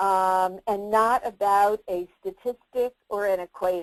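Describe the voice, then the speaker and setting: A woman with a New Jersey accent, medium pitch and a very slow pace, in dry, close sound with no echo. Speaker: career development expert and presenter. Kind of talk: webinar presentation. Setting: online webinar.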